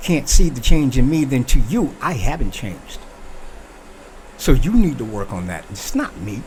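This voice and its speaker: Lively intonation and an animated tone mark this man's speech. His pitch is medium and his pace fairly slow. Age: 60s. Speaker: talk show host. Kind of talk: opinion monologue.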